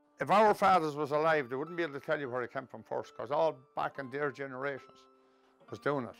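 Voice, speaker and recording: A man at a very fast pace, ordinary pitch variation, music in the background. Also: fairly high pitch for a man. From Kells, County Meath, Ireland. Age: 70s. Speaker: retired Traveller tinsmith. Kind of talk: interview answer.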